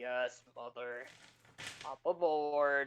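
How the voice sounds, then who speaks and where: This is a put-on character voice. It sits at a low-to-middle pitch. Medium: actual play. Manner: blunt, mischievous.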